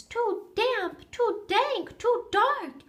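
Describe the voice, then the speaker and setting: An extremely high, squeaky put-on character voice. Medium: read story.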